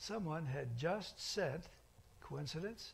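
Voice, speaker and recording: A man speaks with lively intonation and a somewhat breathy voice. Audible room echo surrounds him. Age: 80s+. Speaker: pastor. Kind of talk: sermon. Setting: church.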